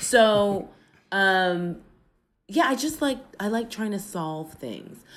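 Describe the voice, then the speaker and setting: Speaking at a very slow pace with long, frequent pauses, a woman with an American accent lets her pitch swing very widely. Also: medium pitch for a woman. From United States. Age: 40s. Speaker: political science professor. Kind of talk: casual interview conversation. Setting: remote from home apartment, traffic noise.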